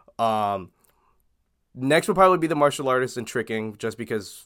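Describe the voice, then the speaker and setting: A man with an unremarkable speaking voice, lively intonation and a fairly quick pace, on a very clean recording with a silent background. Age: 20s. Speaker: streamer and martial arts tricker. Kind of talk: casual chat.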